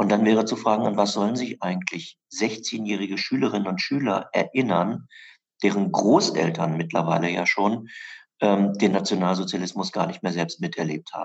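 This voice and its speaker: Speaking at a moderate pace, a man has an unremarkable speaking voice with a fairly low pitch and ordinary pitch variation. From southern Lower Saxony, Germany (western Harz edge). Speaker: historian and memorial director. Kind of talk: interview. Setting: in his office, remote.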